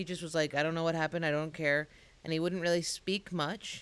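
A woman talks in an American accent. Her intonation is monotone and flat. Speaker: comedian. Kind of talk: casual chat.

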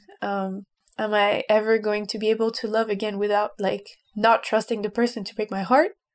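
A woman with a French accent, fairly high-pitched and monotone with flat intonation, at a fairly quick pace. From France. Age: 20s. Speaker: urban planner. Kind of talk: casual chat.

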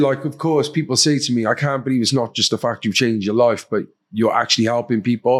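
The recording is very clean, with a silent background. A man at a medium pitch talks at a very fast pace with ordinary pitch variation. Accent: Cardiff. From Wales, Cardiff. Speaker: former addict, podcast host and charity worker. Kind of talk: casual chat.

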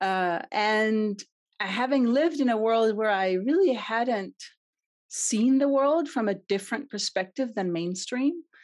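A woman speaks with a Danish accent at a fairly slow pace and a fairly high pitch. Her intonation is lively, and her loudness stays very even. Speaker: CX consultant and entrepreneur. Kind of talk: podcast interview.

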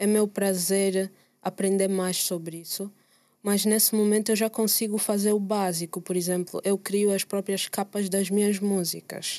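With an Angolan accent, a woman at a medium pitch talks at a moderate pace in a dark, mellow tone and a monotone, flat intonation. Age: 20s. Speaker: musician. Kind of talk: casual chat. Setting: studio.

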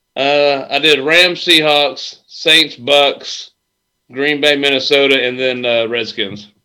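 A man talks very slowly in a bright, sharp tone. His pitch is fairly high, with ordinary variation. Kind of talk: casual chat.

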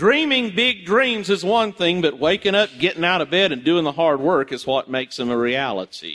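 A loud man at a high pitch, moderate pace and very wide pitch swings, with hardly any pauses. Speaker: pastor. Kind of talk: sermon. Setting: church.

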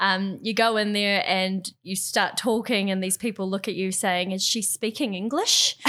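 Speaking in a New Zealand accent, a woman keeps a moderate pace with hardly any pauses, a medium pitch and fairly even intonation. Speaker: yachting industry worker. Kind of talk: casual chat.

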